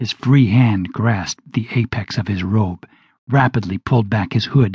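Quiet background and ordinary pitch variation in plain reading aloud

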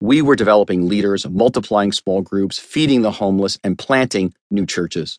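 Against a quiet background, a man with a fairly low pitch and an unremarkable speaking voice talks with hardly any pauses. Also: ordinary pitch variation, moderate pace. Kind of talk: audiobook narration of a memoir, read aloud. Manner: measured, steady, earnest reading pace; sincere, reflective storytelling tone.

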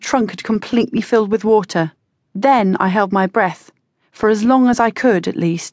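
Someone reads aloud in a natural voice, pitch moving in an ordinary way, with a quiet background behind.

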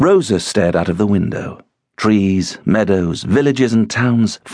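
Everything around the voice is quiet. The speaker reads in a natural reading voice.

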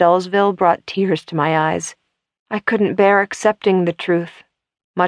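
Over a quiet background comes plain reading aloud with fairly even intonation.

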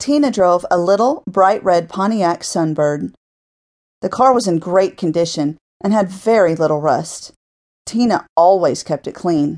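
With lively intonation and an ordinary speaking voice, a woman talks at a fairly slow pace and fairly low pitch over a quiet background. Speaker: audiobook narrator. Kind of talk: dramatic audiobook narration of a violent fiction story, read aloud.

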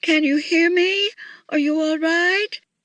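A woman speaks slowly in a put-on character voice, extremely high-pitched and fairly bright, with fairly even intonation.

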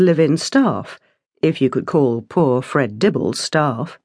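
Against a quiet background, a woman with a British accent and fairly low pitch speaks at a fairly slow pace. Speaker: audiobook narrator. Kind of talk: dramatic audiobook narration. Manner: expressive, character voices.

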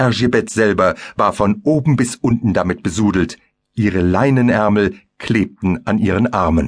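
A fairly slow man's voice of medium pitch, a normal speaking voice with ordinary pitch variation. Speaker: audiobook narrator. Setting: studio. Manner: darkly intense, vivid and theatrical, building horror with measured pacing.

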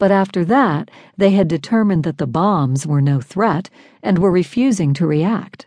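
A woman's dark, mellow voice at medium pitch, with lively intonation and a moderate pace. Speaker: audiobook narrator. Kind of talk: audiobook reading of nonfiction. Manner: steady, measured and clear.

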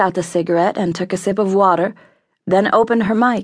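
A woman at medium pitch with ordinary pitch variation and a moderate pace. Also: quiet background. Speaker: audiobook narrator. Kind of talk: audiobook narration, reading aloud. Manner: animated, warm and breezy radio DJ patter in the on-air lines; smooth, conversational, upbeat.

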